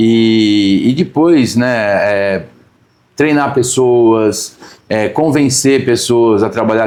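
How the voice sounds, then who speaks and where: A man's unremarkable speaking voice, medium in pitch, with ordinary pitch variation. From Brazil, São Paulo. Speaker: agribusiness company president. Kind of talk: interview conversation. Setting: on location, not studio.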